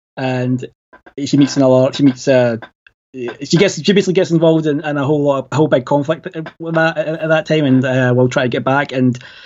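A man with a Glasgow accent, fairly high-pitched, at a fairly quick pace with fairly even intonation. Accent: Scottish (Glaswegian). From Glasgow, Scotland. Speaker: podcaster and movie fan. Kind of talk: casual chat.

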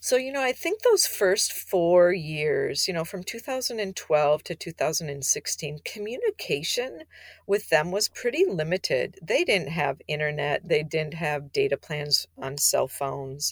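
Dry, close sound with no echo captures a woman with an Upper Midwest accent. She talks at a fairly slow pace with hardly any pauses. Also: very clean recording, silent background. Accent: Upper Midwest American. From Minnesota. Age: 50s. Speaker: non-profit founder. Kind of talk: interview.

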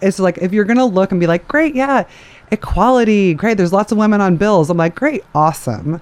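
In a normal speaking voice, a woman of medium pitch talks at a fairly quick pace, with lively intonation and very even loudness. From moved around the US and abroad. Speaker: DJ and music industry professional. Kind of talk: casual interview.

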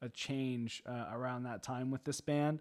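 On a very clean recording with a silent background, a man speaks in a plain, everyday voice at a moderate pace. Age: 20s. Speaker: metal podcast host and drummer. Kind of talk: casual chat.

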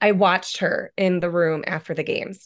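This woman's voice is fairly low in pitch. She speaks at a moderate pace over a quiet background. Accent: American. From US Midwest, rural Illinois. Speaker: hockey coach's wife. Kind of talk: casual chat.

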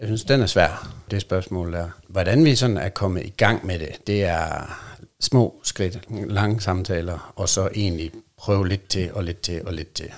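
Fairly slow male speech, very deep and low, its pitch varying in a normal way. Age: 40s. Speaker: podcast guest in an open relationship. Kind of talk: casual interview.

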